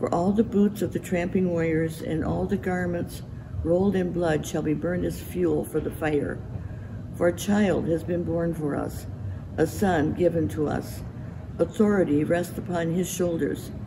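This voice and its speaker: The speaker talks at a moderate pace. Background noise is noticeable throughout. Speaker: scripture reader. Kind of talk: scripture reading. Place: church.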